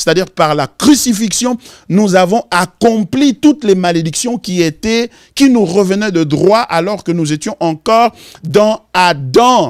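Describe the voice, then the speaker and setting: In a dry, close sound with no echo, a man with a Congolese accent and a high pitch speaks at a fairly slow pace with lively intonation. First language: Lingala (speaking French). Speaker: pastor. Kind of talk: Bible study teaching.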